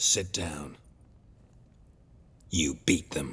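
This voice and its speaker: A growling, put-on character voice at a very deep, low pitch. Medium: video game. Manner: terse, deadpan.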